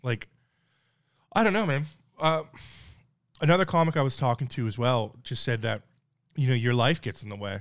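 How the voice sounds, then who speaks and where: Speaking with a Newfoundland accent, a man at a medium pitch moves at a fairly quick pace with lively intonation and long, frequent pauses, in a very clean recording with a silent background. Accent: Newfoundland Canadian English. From Newfoundland, Canada. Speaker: stand-up comedian. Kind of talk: casual chat.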